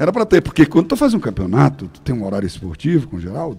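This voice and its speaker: At a fairly quick pace, a man talks in an animated tone. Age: 60s. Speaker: radio broadcaster. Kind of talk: interview storytelling.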